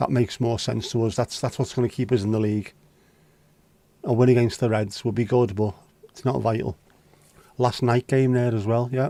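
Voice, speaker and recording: A man with a Scouse accent talks at a fairly quick pace in a dark, mellow tone at medium pitch, with fairly even intonation and long, frequent pauses. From Liverpool, England. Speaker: livestream host. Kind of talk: casual chat. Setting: livestream. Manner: casual, sweary.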